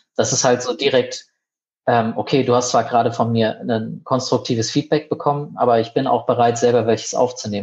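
At a moderate pace and medium pitch, a man with an unremarkable speaking voice talks in fairly even intonation. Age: 30s. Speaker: head of a child and youth welfare association. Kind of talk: casual interview.

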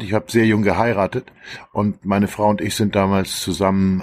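A man talks at a moderate pace with a fairly low pitch and fairly even intonation in a very clean recording with a silent background. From Schleswig-Holstein near Hamburg, northern Germany. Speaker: journalist and author. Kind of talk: casual chat.

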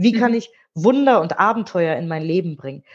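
Her pace moderate, a woman speaks with very wide pitch swings. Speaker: radio host and author. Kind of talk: interview. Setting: video call.

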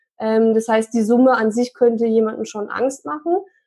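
In an unremarkable speaking voice, a woman with a fairly high pitch talks at a moderate pace with fairly even intonation against a quiet background. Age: 30s. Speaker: real estate investor. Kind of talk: interview.

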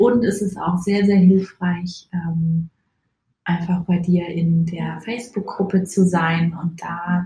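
Monotone, flat speech from a woman at medium pitch, delivered at a fairly slow pace. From Munich, Bavaria. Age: 30s. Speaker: podcast listener. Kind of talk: recorded voice message. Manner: hesitant, many filler sounds.

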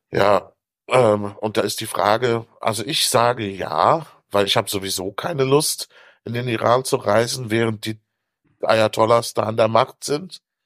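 A man with a normal speaking voice talks fairly slowly, his pitch varying in an ordinary way. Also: medium pitch for a man, very clean recording, silent background. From Africa. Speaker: author. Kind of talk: casual chat.

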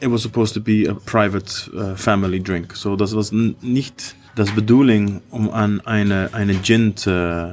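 A man at a fairly low pitch, with a fairly slow pace and fairly even intonation. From Iceland, Icelandic mother and Dutch father. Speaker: gin distiller and artist. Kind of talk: interview with tasting. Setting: hotel bar. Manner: halting, repeating words; switching between German and English.

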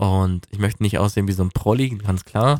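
The recording is very clean, with a silent background and a dry, close sound with no echo, as a man speaks fairly quickly at a fairly low pitch with ordinary pitch variation. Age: 20s. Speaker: podcaster on weight loss. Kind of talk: personal monologue. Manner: calm, relaxed.

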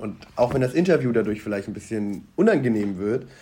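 A man is speaking. His pace is moderate. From Bonn, western Germany. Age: 30s. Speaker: news editor. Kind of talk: casual interview.

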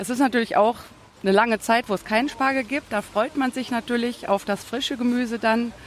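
A plain, everyday voice from a woman, fairly high in pitch. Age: 40s. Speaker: farm worker selling asparagus. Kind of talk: interview. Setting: outdoor farmers market.

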